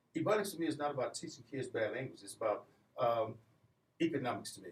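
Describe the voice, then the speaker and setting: A man speaks at a very fast pace, his loudness swinging widely. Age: 60s. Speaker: community business leader. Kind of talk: radio interview.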